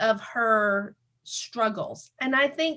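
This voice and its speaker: Raised, projected speech from a woman, with a bright, sharp tone and ordinary pitch variation. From US South. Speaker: podcast host. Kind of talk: interview.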